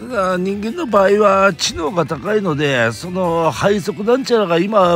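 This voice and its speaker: A man speaks at a moderate pace. The sound is dry with no echo, with faint music in the background. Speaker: vlogger. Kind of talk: casual vlog chat. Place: home room. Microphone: phone near.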